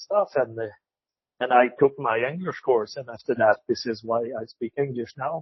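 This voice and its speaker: A man talks with a Quebec accent. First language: French. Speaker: retired cattle classifier. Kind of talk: interview. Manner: halting, repeats words.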